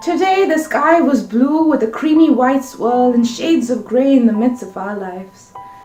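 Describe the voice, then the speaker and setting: Over music in the background, a woman talks at a moderate pace and high pitch with lively intonation, hardly any pauses, and big swings in loudness. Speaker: spoken word poet. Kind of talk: poetry reading.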